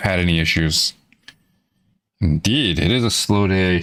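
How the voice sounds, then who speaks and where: In an American accent, a man with a very deep, low pitch speaks at a moderate pace. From Florida. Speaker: indie game developer streamer. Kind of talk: live stream casual chat.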